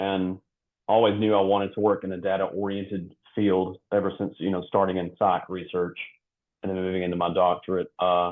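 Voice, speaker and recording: With a North Alabama accent, a man speaks at a fairly quick pace in a very deep, low voice and a monotone, flat intonation. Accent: Southern US (North Alabama). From US South, North Alabama. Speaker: institutional research associate director. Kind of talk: interview.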